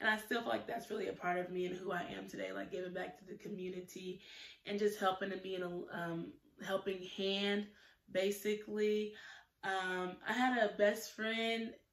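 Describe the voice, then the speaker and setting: A woman speaks at a moderate pace with fairly even intonation. Room echo is audible. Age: 20s. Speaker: YouTuber, student; YouTuber. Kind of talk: casual vlog monologue; casual vlog chat. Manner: hesitant, many fillers. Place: home room. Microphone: phone near.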